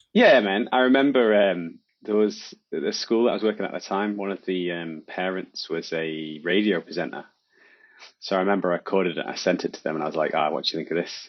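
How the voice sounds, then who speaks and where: A man with a very deep, low voice, an English accent, ordinary pitch variation and a fairly quick pace. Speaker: hobby podcaster. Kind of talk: casual chat.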